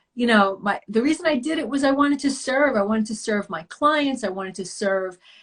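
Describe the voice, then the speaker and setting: A fairly high-pitched woman in an American accent, fairly quick, with lively intonation. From US Northeast (Long Island, New York). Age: 60s. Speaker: yoga teacher and wellness coach. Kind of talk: interview. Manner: halting.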